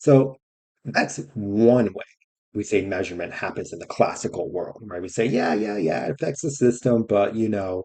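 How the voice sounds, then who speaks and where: Dark and mellow in tone, a man's fairly low voice moves at a moderate pace. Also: ordinary pitch variation. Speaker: science educator. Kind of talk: casual lecture. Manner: casual, filler-heavy with frequent right?.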